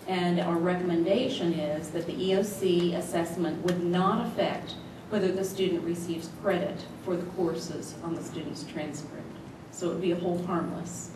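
The speaker goes at a moderate pace with monotone, flat intonation, amid noticeable background noise and audible room echo. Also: woman, fairly low pitch for a woman. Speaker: presenter. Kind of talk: formal report to a board. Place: meeting room.

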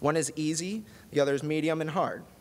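A man's unremarkable speaking voice, fairly high in pitch. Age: 20s. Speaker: music technology designer and research assistant. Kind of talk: prepared talk. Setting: stage with audience. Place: hall. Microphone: podium.

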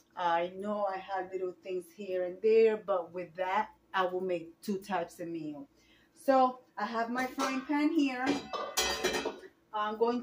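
Loud background noise fills the clip. The speaker talks at a very slow pace with ordinary pitch variation. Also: woman. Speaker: home cooking vlogger. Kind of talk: casual vlog chat. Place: kitchen. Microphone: phone near.

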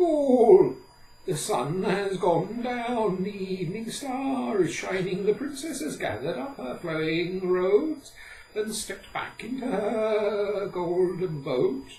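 Someone uses a put-on character voice at a middle pitch and fairly slow pace, with a slight echo. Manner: brisk, scolding.

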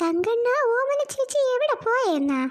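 A woman performs a cartoonish character voice at an extremely high, squeaky pitch. Her intonation is lively. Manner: teasing, familiar.

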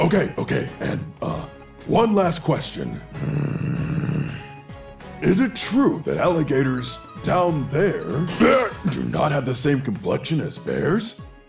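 A put-on character voice from a man, fairly high in pitch and fairly slow, with clear music in the background. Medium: dub. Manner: polite, inquisitive.

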